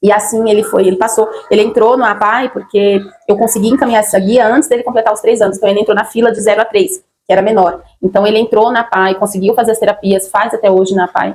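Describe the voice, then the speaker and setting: Speaking very fast, a woman keeps a fairly high pitch. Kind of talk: personal testimony vlog. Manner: halting, many fillers.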